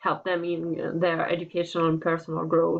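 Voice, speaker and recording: A woman speaks with an Italian accent. Her pitch sits fairly low. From Italy. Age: 20s. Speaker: student applying for teaching internship. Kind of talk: application video monologue. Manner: halting, many fillers.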